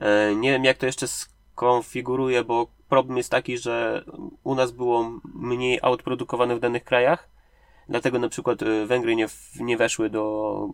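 A moderate pace in a dry, close sound with no echo. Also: man. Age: 30s. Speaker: indie game developer. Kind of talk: interview. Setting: sitting in a parked car. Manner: halting.

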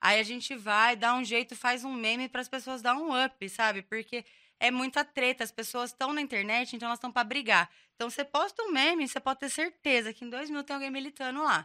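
A woman with a bright, sharp tone speaks at a fairly quick pace, high in pitch, with ordinary pitch variation. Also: dry, close sound with no echo. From Brazil, São José dos Campos (São Paulo state). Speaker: meme page admin. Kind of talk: casual chat.

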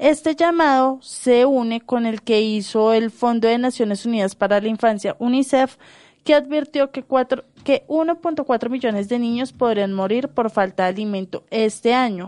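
The background is quiet. Pitch variation is ordinary. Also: woman, high pitch for a woman, fairly slow pace. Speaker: journalist. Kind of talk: news reading.

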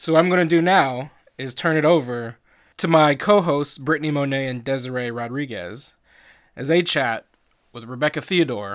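The speaker is a man. His pitch moves with ordinary variation. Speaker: podcast host. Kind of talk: scripted intro and outro.

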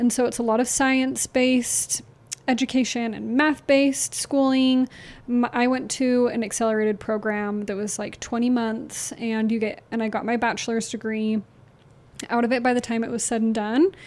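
At a moderate pace, a woman talks with fairly high pitch and monotone, flat intonation. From Salt Lake City, Utah. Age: 20s. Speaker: podcast co-host, dental hygienist. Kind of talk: casual chat. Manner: soft-spoken, a bit reserved.

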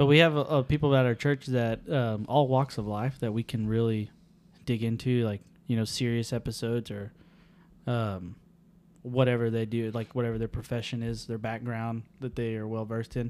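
A man with an American accent and an unremarkable speaking voice, at medium pitch, moderate pace and fairly even intonation. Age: 20s. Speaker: podcast co-host. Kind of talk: casual chat.

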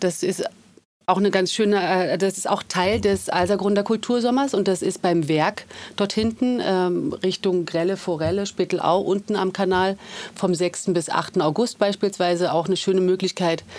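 A woman with an ordinary speaking voice, medium pitch, fairly even intonation, very even loudness and a moderate pace. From Germany, Berlin. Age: 40s. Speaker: artist and district politician. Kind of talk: casual interview. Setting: studio.

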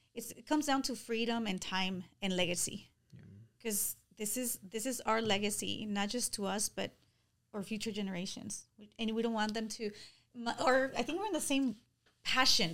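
A woman's fairly high voice with ordinary pitch variation, a moderate pace and long, frequent pauses. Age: 40s. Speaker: business owner and event organizer. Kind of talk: interview conversation.

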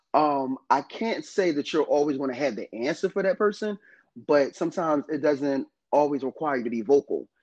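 This man has an American accent and a normal speaking voice, pitched fairly high with ordinary pitch variation. He talks at a fairly quick pace, and the sound is dry and close with no echo over a quiet background. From northern New Jersey, US. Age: 30s. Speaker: podcast co-host. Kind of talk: casual chat.

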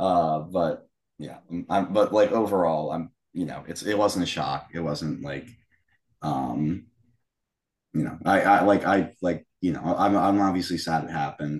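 A man with a very deep, low pitch and vocal fry speaks at a fairly slow pace, pausing long and often, with ordinary pitch variation. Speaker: podcast co-host. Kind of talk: casual banter and album review.

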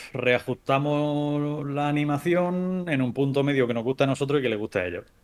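This man has an unremarkable speaking voice, fairly high in pitch with ordinary pitch variation. He talks at a moderate pace. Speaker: visual effects artist. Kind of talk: casual interview.

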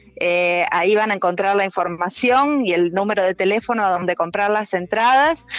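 Music plays in the background as the speaker talks at a fairly slow pace. The pitch varies in an ordinary way. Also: woman. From Argentina, Rosario. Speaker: dance director. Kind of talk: casual interview.

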